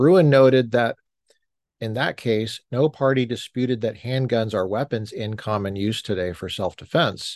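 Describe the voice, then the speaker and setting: The delivery moves at a moderate pace with ordinary pitch variation, in a dry, close sound with no echo and a quiet background. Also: man. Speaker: podcast host reading court opinion aloud. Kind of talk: reading aloud. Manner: sounds angry while reading.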